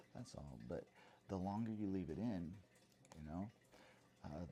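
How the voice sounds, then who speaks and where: This man is soft-spoken, with a dark, mellow tone. His pitch variation is ordinary. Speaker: math education student and video blogger. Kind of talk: comedic monologue. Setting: at home at night. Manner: halting, many fillers.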